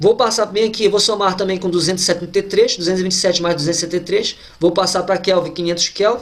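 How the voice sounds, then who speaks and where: Noticeable noise lingers in the background. The speaker talks very fast. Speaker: physics teacher. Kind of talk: lecture.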